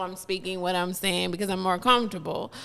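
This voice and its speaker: A woman is speaking. She has an American accent. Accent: southern drawl when relaxed, proper otherwise. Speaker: podcast co-host. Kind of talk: casual chat. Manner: polished, proper 'call center' style.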